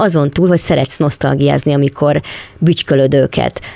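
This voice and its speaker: Fairly quick speech from a woman, noticeable background noise behind her. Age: 60s. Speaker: podcast interviewer. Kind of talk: interview. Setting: small workshop.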